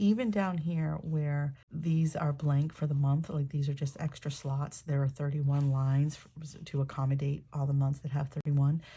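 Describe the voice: Croaky and low-pitched, a woman speaks fairly slowly with a dark, mellow tone and little pitch movement.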